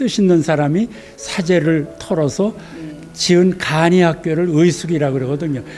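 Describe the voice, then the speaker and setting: A high-pitched man at a fairly slow pace, with ordinary pitch variation and light background noise. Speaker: literary museum guide. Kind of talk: interview answer. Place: hall. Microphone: handheld.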